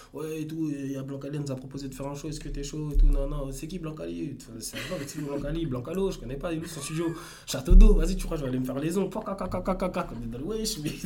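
A man talks very fast at a fairly high pitch with ordinary pitch variation and big swings in loudness. Noticeable background noise and audible room echo fill the recording. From Paris suburbs, France. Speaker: electro dancer and entrepreneur. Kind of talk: casual interview. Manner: halting, many repetitions.

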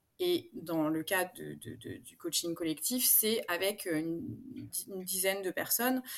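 Her intonation is lively as this woman speaks at a very slow pace. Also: medium pitch for a woman, very clean recording, silent background. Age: 40s. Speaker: coaching client sharing her story. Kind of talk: interview testimony. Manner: halting, many fillers.

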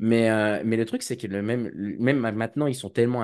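Quiet background behind a man talking at a moderate pace. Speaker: cybersecurity student and association president. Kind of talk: casual interview. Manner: hesitant, many fillers.

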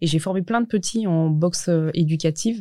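Dark, mellow, fairly low-pitched speech from a woman. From France, Saône-et-Loire (Burgundy). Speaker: MMA fighter and fitness coach. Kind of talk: interview.

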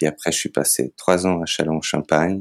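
The man's pitch is very deep and low, with monotone, flat intonation and a fairly slow pace. The sound is dry and close, with no echo. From North Macedonia. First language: Macedonian (speaking French). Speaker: circus artist and photographer. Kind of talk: interview. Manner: hesitant, many fillers.

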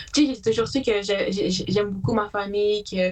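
At a medium pitch and a moderate pace, a woman talks in an ordinary speaking voice. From Quebec, Haute-Mauricie (Atikamekw community, La Tuque). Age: 20s. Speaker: student and shelter support worker. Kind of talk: casual interview.

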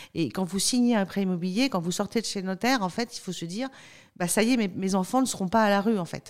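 An energetic tone at a very fast pace, with ordinary pitch variation. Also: woman, medium pitch for a woman, very clean recording, silent background. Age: 40s. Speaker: company spokesperson. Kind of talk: podcast interview. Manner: frequent hesitations.

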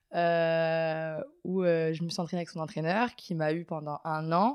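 Recorded very cleanly against a silent background, a woman's fairly low voice sounds dry and close, without echo. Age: 20s. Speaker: water polo player. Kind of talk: interview. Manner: hesitant.

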